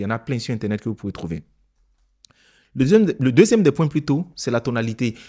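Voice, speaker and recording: A man's dark, mellow tone at a very fast pace, broken by long, frequent pauses, on a very clean recording with a silent background. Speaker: public speaking coach. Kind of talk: tutorial. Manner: clear diction.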